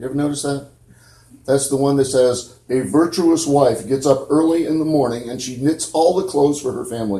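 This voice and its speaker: Here a man with an American accent has a fairly high pitch and a dark, mellow tone that is somewhat breathy. He speaks at a moderate pace, with audible room echo. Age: 60s. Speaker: preacher. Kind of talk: sermon. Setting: church.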